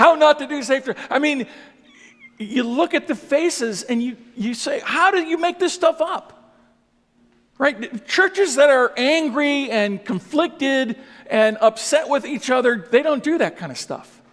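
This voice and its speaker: A man's extremely high voice, lively in intonation, at a fairly slow pace. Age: 60s. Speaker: pastor. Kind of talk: speech.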